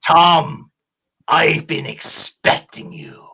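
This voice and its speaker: A man puts on a raspy character voice at a fairly high pitch. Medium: game stream. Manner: calm, measured, knowing.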